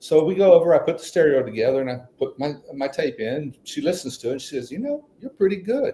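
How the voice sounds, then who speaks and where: A man speaks with a West Texas accent. His pace is fairly quick. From Texas (Midland). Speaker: author and songwriter. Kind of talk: storytelling in a podcast interview. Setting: podcast interview.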